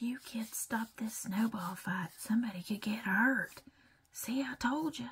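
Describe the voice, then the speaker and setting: The voice is soft-spoken and whispering. It moves at a fairly slow pace. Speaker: ASMR creator. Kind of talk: whispered ASMR magazine flip-through. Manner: whispered, soft-spoken.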